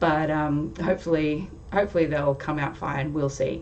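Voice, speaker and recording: Audible room echo surrounds a woman with an Australian accent and a fairly low pitch. Her tone is dark and mellow, her intonation fairly even. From Australia, Sydney. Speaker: tarot youtuber. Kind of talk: casual vlog intro. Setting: home recording on webcam. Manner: chatty, hesitant fillers.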